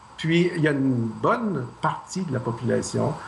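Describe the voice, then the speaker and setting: A man speaks at a very slow pace with lively intonation. Noticeable background noise and audible room echo come through. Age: 60s. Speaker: math professor, Mars mission candidate. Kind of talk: tv interview.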